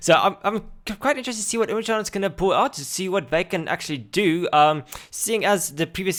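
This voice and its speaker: Talking at a very fast pace with lively intonation, a man speaks with an Afrikaans accent. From South Africa. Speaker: esports commentator. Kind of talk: live commentary. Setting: live stream. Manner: halting.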